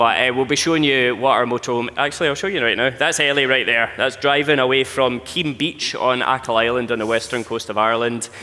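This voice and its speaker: Over noticeable background noise, a man of medium pitch with a strong Scottish accent talks at a very fast pace with fairly even intonation. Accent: thick Scottish. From Scotland. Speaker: travel content creator. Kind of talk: live presentation.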